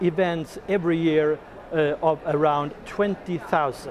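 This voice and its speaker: A man talks at a fairly slow pace with a fairly high pitch. Noticeable background noise runs behind him. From Sweden. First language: Swedish. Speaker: product developer. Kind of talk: interview. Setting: trade fair stand. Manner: halting.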